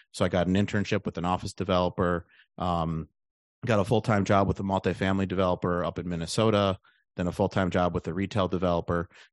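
Very fast and monotone in its flat intonation, this voice comes with an American accent, a dry, close sound without echo and a quiet background. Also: man, very deep, low pitch for a man. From Wisconsin, Milwaukee area. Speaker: real estate investor. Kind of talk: interview.

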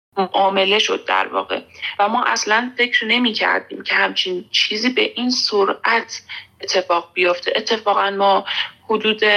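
With very even loudness, a woman talks at a moderate pace over noticeable background noise. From Iran. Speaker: social activist. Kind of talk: interview testimony.

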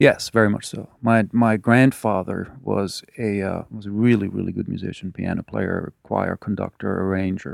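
Someone with a German accent talks at a moderate pace with fairly even intonation and hardly any pauses, in a very clean recording with a silent background and a dry, close sound with no echo. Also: man, fairly low pitch for a man. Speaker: musician. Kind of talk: interview. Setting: studio.

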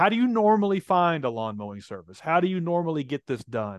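Speaking at a moderate pace, a man talks in a Tennessee accent. His voice is fairly high and swings very widely in pitch. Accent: Southern US (Tennessee). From US South, Nashville. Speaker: tech entrepreneur. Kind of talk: interview.

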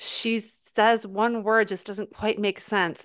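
The background is quiet. A woman speaks at a medium pitch. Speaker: podcast co-host. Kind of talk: casual chat. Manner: jokey, animated.

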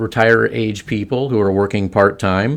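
On a very clean recording with a silent background, a man with an American accent talks at a moderate pace and a fairly low pitch in a plain, everyday voice. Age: 60s. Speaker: semi-retired financial firm employee. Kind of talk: podcast interview.

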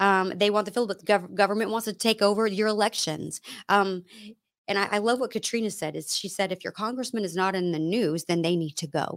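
At a fairly quick pace, a woman with an ordinary speaking voice talks at a medium pitch with ordinary pitch variation. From Texas, Dallas area. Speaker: political activist. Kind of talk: casual interview. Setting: home studio.

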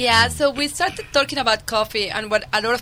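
A woman with a Colombian accent talks at a fairly quick pace with lively intonation, a bright, sharp tone and vocal fry. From Colombia (Medellin). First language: Spanish. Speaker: winemaker. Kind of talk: radio interview. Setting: studio.

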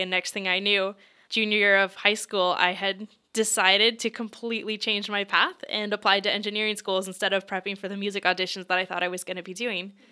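In a Mid-Atlantic accent, a woman speaks at a fairly quick pace in a bright, sharp tone with monotone, flat intonation, the recording very clean and the background silent. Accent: American, Mid-Atlantic. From Pennsylvania, US. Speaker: tech program manager, mental health advocate. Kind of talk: interview. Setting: office.

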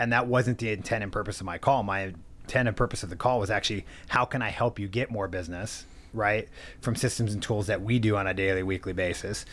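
With a Californian accent, a man of fairly low pitch speaks at a very fast pace and with fairly even intonation on a very clean recording with a silent background. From US West Coast, San Diego. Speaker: mortgage lender. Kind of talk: interview.

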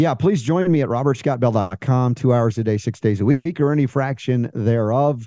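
The voice has a dark, mellow tone, a moderate pace and ordinary pitch variation, set against a quiet background. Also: man. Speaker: alternative health guest. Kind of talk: interview discussion.

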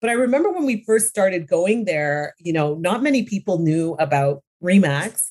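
A woman with a Canadian accent, medium pitch and very wide pitch swings, at a moderate pace with hardly any pauses. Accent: Canadian, little trace of British. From London, England, raised in Ontario, Canada. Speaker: business owner, real estate industry professional. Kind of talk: interview, casual chat.

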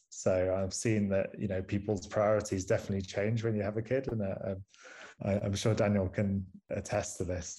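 A man with a strong Manchester accent speaks at a moderate pace in a fairly low, somewhat breathy voice with a dark, mellow tone and flat, monotone intonation, on a very clean recording with a silent background. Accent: strong northern English (Manchester). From northern England, Manchester. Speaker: astronomer and university lecturer. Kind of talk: casual interview conversation.

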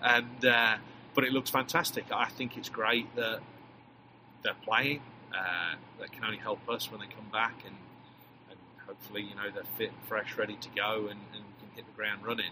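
A man speaks with long, frequent pauses. There is noticeable background noise. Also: medium pitch for a man, fairly even intonation, moderate pace, big swings in loudness. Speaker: soccer head coach. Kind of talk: interview, casual chat.

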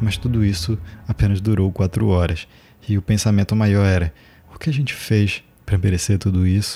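Over music in the background, a man with a fairly low pitch speaks at a moderate pace with long, frequent pauses, very even loudness and fairly even intonation. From Brazil, Macapá (Amapá). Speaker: podcast host, artist and chronicler. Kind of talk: scripted narration.

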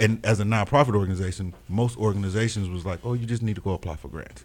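A man talks very fast in an American accent, barely pausing. His pitch is fairly low, with ordinary variation. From Kansas City, Missouri. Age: 40s. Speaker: nonprofit founder and artist. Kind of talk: radio interview. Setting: radio studio.

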